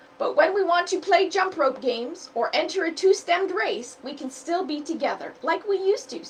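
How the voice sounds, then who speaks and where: This is a put-on character voice. It runs with hardly any pauses. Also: woman, extremely high pitch for a woman, moderate pace. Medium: read story. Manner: energetic, eager.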